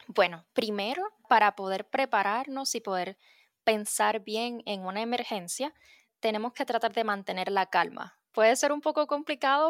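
On a very clean recording with a silent background and a dry, close sound with no echo, a woman talks in a normal speaking voice at a fairly high pitch and moderate pace, with ordinary pitch variation. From Puerto Rico. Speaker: meteorologist. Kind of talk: educational interview for children.

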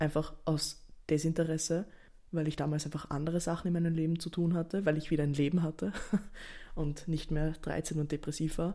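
At a fairly quick pace, a woman talks in a very deep, low pitch with a dark, mellow tone. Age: 20s. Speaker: podcaster. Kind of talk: casual solo monologue. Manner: animated.

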